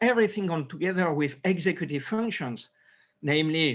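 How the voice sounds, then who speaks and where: A man with a French accent, high-pitched, lively in intonation, moderate in pace, against a quiet background. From France. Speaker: neurosurgeon. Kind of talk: interview. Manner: halting.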